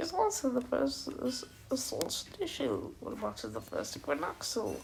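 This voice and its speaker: Noticeable background noise behind a woman's moderate-speed speech. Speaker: amateur voice actor. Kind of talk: casual talk to camera.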